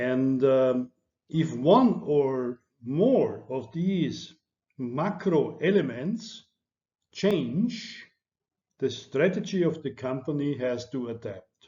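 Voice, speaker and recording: A somewhat breathy man's voice at a fairly high pitch, very slow in pace, with lively intonation. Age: 60s. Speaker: lecturer. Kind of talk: lecture. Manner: halting.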